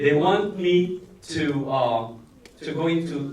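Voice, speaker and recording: A man talks with a Filipino accent and ordinary pitch variation. Room echo is audible, and there is noticeable background noise. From Philippines. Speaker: actor. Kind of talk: press conference answer. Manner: halting, many fillers.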